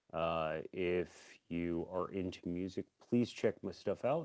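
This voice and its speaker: A man mumbles at a fairly slow pace in a very deep, low pitch. His tone is dark and mellow. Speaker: music youtuber and co-host. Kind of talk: casual chat. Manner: mumbling.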